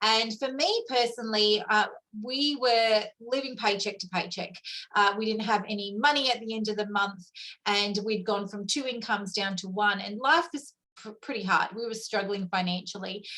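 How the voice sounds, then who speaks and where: In an Australian accent, a woman with a bright, sharp tone and fairly high pitch speaks at a moderate pace with ordinary pitch variation. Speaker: network marketing leader. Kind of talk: testimony.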